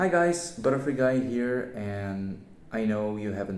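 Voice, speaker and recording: With a non-native accent, a man talks at a fairly slow pace, and audible room echo surrounds his voice. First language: not English. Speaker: YouTuber. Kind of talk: casual channel update vlog. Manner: hesitant, many fillers.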